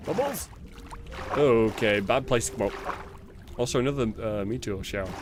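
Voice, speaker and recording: A man with a British accent uses lively intonation. Long, frequent pauses punctuate his speech over noticeable background noise. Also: medium pitch for a man, moderate pace. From England. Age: 30s. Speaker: gaming streamer. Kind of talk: casual chat. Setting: livestream.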